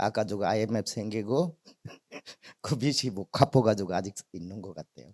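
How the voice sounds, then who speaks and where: A man speaks at a moderate pace with a Bangladeshi accent. His tone is dark and mellow, and his intonation is lively. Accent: non-native Korean, Bangladeshi. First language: Bengali (speaking Korean). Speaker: migrant theater representative, guest speaker. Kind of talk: testimony.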